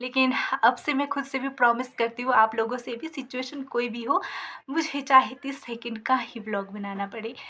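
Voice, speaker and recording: Noticeable background noise sits behind a woman speaking at a moderate pace. Her high voice shows big swings in loudness. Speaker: village vlogger. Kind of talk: casual vlog talk to camera. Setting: sitting in her shop. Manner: hesitant fillers.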